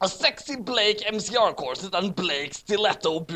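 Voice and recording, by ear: Here the voice is reading aloud in a natural voice.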